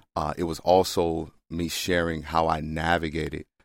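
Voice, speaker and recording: Very deep and low, a man's voice moves at a fairly slow pace. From US South, Mississippi. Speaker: family therapist and former pro football player. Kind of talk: interview.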